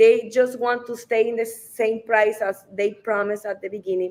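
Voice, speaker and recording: A woman speaks at a moderate pace. Her pitch is fairly high and her intonation fairly even. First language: Spanish. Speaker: real estate advisor. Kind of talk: live stream discussion. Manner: halting.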